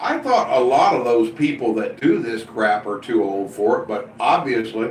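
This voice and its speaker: Audible room echo surrounds this man's voice. He speaks fairly slowly. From US Midwest (Indiana). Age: 60s. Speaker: live streamer. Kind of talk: casual chat. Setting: live stream reading chat.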